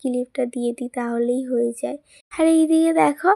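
The voice has a dark, mellow tone and fairly even intonation, captured in a very clean recording with a silent background and a dry, close sound with no echo. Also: woman. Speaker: lifestyle vlogger. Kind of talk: casual vlog narration.

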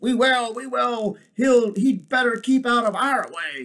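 Using a put-on character voice, a man speaks at a fairly slow pace in an extremely high pitch with a fairly bright tone, vocal fry, and growling. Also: ordinary pitch variation.

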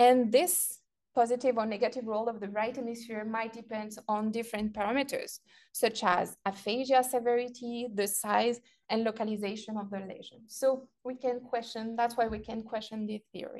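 A woman with a non-native accent speaks at a moderate pace, her pitch fairly high. Her intonation stays fairly even while her loudness swings widely. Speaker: researcher giving lecture. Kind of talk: lecture.

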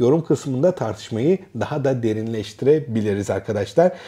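Somewhat breathy and dark, mellow in tone, a man speaks at a moderate pace with very wide pitch swings. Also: quiet background. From Turkey. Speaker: academic and educational youtuber; educational youtuber. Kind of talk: casual educational monologue. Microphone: lapel.

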